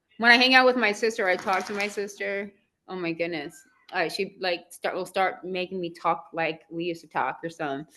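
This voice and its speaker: A woman in a Southern California accent, bubbly with a bright, sharp tone, medium pitch, ordinary pitch variation and moderate pace, over a quiet background. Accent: valley girl. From Southern California, Simi Valley. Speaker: gardening channel host. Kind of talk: casual chat.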